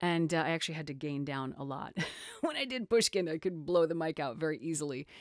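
A woman talks at a very fast pace in a very deep, low pitch with ordinary pitch variation. The background is quiet and the sound is dry with no echo. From North America. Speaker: voice actor. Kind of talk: interview answer. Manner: casual, enthusiastic. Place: home room.

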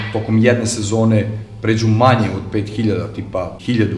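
There is audible room echo and light background noise. A man talks at a moderate pace with monotone, flat intonation. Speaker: motorcycle vlogger. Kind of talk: casual vlog chat. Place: workshop.

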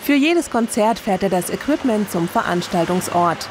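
A woman's fairly high voice with lively intonation, moderate pace and noticeable background noise. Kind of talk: TV documentary narration.

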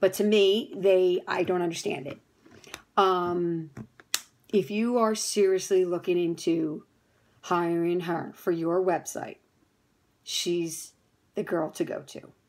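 Speaking very slowly with long, frequent pauses, a woman keeps a fairly even intonation in an American accent. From New Jersey. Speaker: fitness studio owner. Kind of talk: testimonial. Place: home room. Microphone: phone near.

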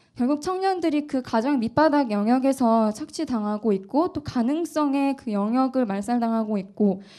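Lively intonation and a dark, mellow tone at a moderate pace, over a quiet background. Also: woman. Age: 20s. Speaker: political candidate. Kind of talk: presentation pitch. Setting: cafe event with audience.

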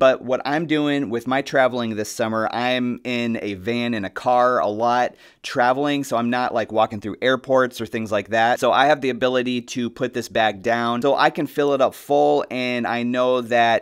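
In a quiet background, a man speaks at a moderate pace with fairly even intonation and hardly any pauses. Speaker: gear reviewer. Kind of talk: product walkthrough. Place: studio.

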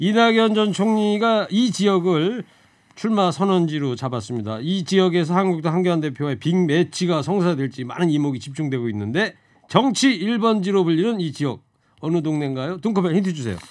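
A man's high-pitched voice carries lively intonation and an animated tone. He goes at a moderate pace against a quiet background. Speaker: radio host. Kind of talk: radio current affairs chat. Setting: studio. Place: studio. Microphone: studio mic.

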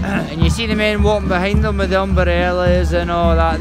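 Music plays in the background as a man speaks at a moderate pace, the sound dry with no echo. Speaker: local vlogger filming a parade. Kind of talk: casual vlog chat. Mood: relaxed, candid, some swearing. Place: street. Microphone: phone near.

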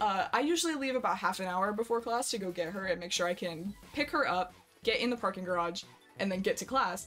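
A woman at a very fast pace, with faint music in the background. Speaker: streamer. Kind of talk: casual stream chat and storytelling. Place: home room. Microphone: headset.

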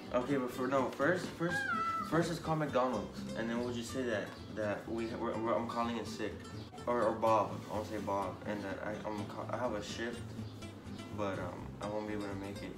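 Over loud background music, a man speaks at a moderate pace with ordinary pitch variation. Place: home room. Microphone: camera far.

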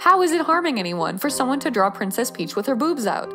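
Music plays in the background as a woman speaks at a very fast pace. Her pitch swings very widely. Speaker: artist commentator. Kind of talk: commentary. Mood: earnest, slightly exasperated.

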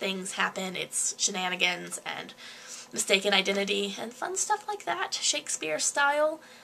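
Light noise sits in the background. The speaker is a woman. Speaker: student, amateur stage actor. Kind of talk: casual talk to camera. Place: home room. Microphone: webcam.

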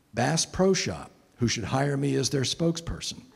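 A man speaks fairly slowly in a fairly high, somewhat breathy voice with ordinary pitch variation. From Connecticut, US. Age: 60s. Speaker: environmentalist giving a talk; guest. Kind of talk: lecture to a church men's group. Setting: church meeting room with audience. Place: church. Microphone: handheld.

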